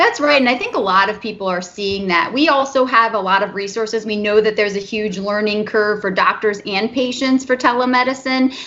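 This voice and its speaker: A woman's fairly high voice moves at a fairly quick clip with ordinary pitch variation, while noticeable background noise runs underneath. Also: hardly any pauses. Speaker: movement disorder specialist doctor. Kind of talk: interview. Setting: remote recording from home.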